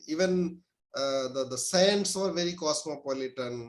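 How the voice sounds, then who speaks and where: A man with a Pakistani accent and ordinary pitch variation. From India. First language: Urdu. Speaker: professor. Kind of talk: interview. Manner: halting, many fillers.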